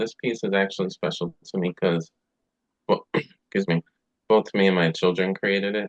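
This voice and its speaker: Speaking at a moderate pace, a man with an American accent has a very deep, low pitch. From New Jersey. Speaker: painter. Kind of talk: webinar self-introduction.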